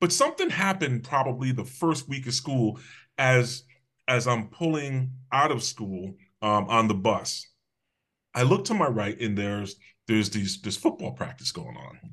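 A man with an American accent speaks in a plain, everyday voice at medium pitch and a moderate pace, with lively intonation and a quiet background. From Connecticut (Hamden, near New Haven). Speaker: public safety official, former police officer. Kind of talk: interview, personal life story.

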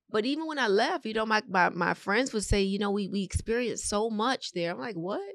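An ordinary speaking voice from a woman with an American accent, fairly high in pitch and fairly quick in pace. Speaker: realtor. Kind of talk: interview.

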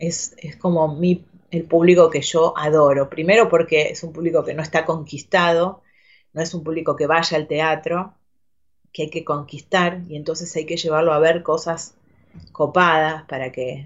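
A woman speaks with a Rioplatense accent and monotone, flat intonation. Her pace is fairly slow, and her loudness swings widely. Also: fairly low pitch for a woman. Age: 40s. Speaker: actress. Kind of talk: casual interview chat. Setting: studio. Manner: halting, repeats words.

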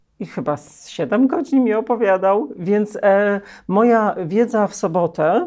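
Over a quiet background, a woman speaks at a medium pitch with a dark, mellow tone. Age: 40s. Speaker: parent of a transgender child. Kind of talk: interview.

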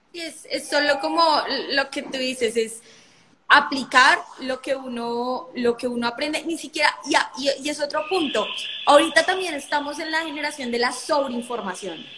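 At a moderate pace, a woman speaks in a raised, projected voice with a high pitch and ordinary pitch variation. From Colombia. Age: 20s. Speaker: lawyer and entrepreneur. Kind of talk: live stream conversation.

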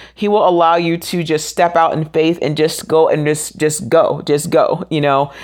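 A woman with a plain, everyday voice speaks in a fairly low pitch with an American accent. She keeps a moderate pace and fairly even intonation, with hardly any pauses. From US South, Orlando, Florida. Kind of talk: devotional monologue, encouraging talk. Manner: casual, with frequent fillers.

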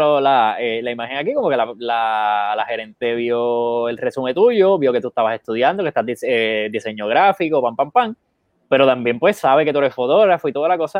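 A man with an unremarkable speaking voice keeps a moderate pace, his intonation lively. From Puerto Rico, Bayamón. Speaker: photographer and co-host. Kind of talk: casual chat. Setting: Facebook live stream.

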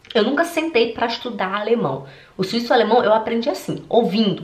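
Amid noticeable background noise and audible room echo, a woman speaks fairly quickly in an animated tone at a fairly high pitch. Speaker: German language coach. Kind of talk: vlog-style direct address to viewers.

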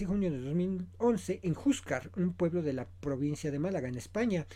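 A man speaks with a fairly high pitch and lively intonation. His tone is dark and mellow. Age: 40s. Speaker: podcast host, film commentator. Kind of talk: solo podcast commentary. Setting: home studio, self-produced.

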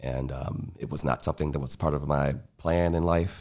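In an American accent, a man with a very deep, low pitch and vocal fry speaks at a moderate pace with fairly even intonation. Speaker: taproom hospitality staff and artist. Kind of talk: casual chat. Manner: smooth.

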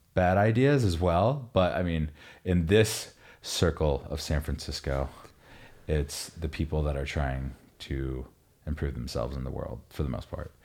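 The man's voice sits very deep and low. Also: very clean recording, silent background. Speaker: podcast co-host. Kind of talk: casual chat. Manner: joking, laid-back.

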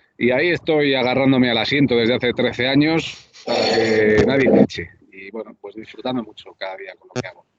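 A man with a normal speaking voice talks at a fairly quick pace with hardly any pauses. His pitch is medium, with ordinary variation and big swings in loudness. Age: 30s. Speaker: basketball commentator. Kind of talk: casual interview. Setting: cafe.

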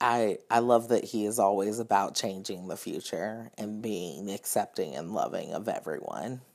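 In an ordinary speaking voice with an American accent, a man talks at a moderate pace and fairly low pitch, with ordinary pitch variation and hardly any pauses, on a very clean recording with a silent background. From US South. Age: 20s. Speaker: social worker. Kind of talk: casual chat.

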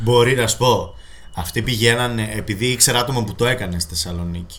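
The speech moves at a fairly quick pace, and room echo is audible. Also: man. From Greece, Thessaloniki. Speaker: podcast co-host. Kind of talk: casual chat. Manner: hesitant fillers.

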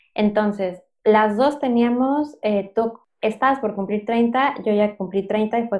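A woman with a fairly high voice talks very slowly, her pitch varying in an ordinary way. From Mexico City. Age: 30s. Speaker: podcast co-host, entrepreneur. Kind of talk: casual chat.

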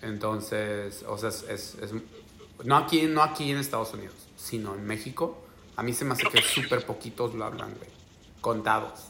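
Amid noticeable background noise, a man of medium pitch speaks at a moderate pace with ordinary pitch variation. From Mexico, Oaxaca. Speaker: podcaster. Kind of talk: casual chat. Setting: video call.

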